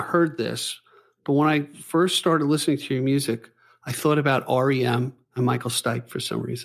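This man has an ordinary speaking voice, pitched fairly high, with ordinary pitch variation. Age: 60s. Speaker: podcast host. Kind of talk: interview.

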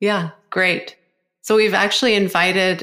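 A woman speaks at a fairly slow pace in a flat, monotone way, recorded very cleanly against total silence. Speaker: podcast host and acupuncturist. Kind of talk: casual interview.

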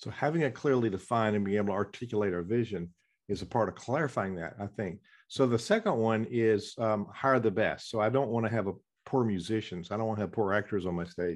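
A man talks at a very fast pace with a Southern US accent. The background is quiet. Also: fairly low pitch for a man, ordinary pitch variation. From US South. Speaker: podcast host and musician. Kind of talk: interview.

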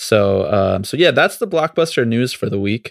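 Very clean recording, silent background, a man with an American accent. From New York. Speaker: podcast host. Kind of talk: casual chat. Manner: animated.

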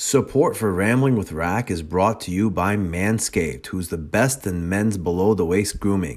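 A man speaks in a normal speaking voice. His pitch is fairly low and his pace is moderate. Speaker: jiu-jitsu podcast host and gym owner. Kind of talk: casual interview chat.

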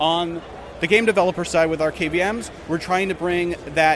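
With noticeable background noise, a man speaks at a moderate pace and with fairly even intonation. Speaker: marketing manager. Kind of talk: product demo. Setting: trade show floor.

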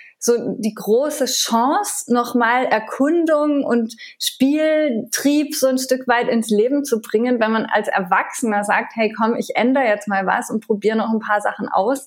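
The woman has a high voice with ordinary pitch variation. She speaks at a moderate pace. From France. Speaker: TV chef and food blogger. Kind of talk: interview.

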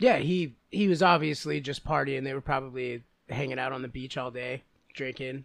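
A man with an unremarkable speaking voice, medium pitch and ordinary pitch variation, at a moderate pace with big swings in loudness. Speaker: podcast co-host. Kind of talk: casual comedic banter. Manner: joking, laughs often.

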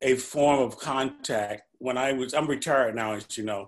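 Against a quiet background, a plain, everyday voice with an American accent speaks at a fairly slow pace. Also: man. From St. Louis, US Midwest. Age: 60s. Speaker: retired pension fund manager. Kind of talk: casual interview.

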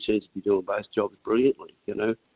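With an Australian accent, a man speaks at a moderate pace. His pitch is fairly low. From Australia, Northern Rivers NSW. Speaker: racehorse owner. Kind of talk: casual chat.

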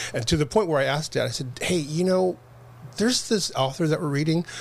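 A man talks at a fairly quick pace in a fairly high pitch. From Los Angeles, California. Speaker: producer and director. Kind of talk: casual interview.

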